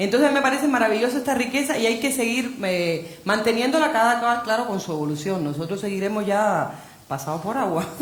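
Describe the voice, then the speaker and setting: Animated and fairly high in pitch, a woman talks at a fairly quick pace with lively intonation, with audible room echo and noticeable background noise. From Cuba. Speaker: novelist. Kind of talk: panel discussion.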